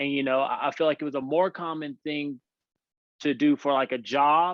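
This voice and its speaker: A man with a strong Louisiana accent speaks at a fairly high pitch. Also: fairly even intonation, moderate pace. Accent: heavy Louisiana country. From Louisiana, small country town. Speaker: former pastor, parenting coach. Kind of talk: podcast interview. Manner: halting, many repeated words.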